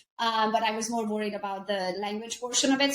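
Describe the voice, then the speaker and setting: A woman with a Hungarian accent talks at a fairly quick pace in a fairly high pitch. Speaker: realtor and entrepreneur. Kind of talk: casual chat.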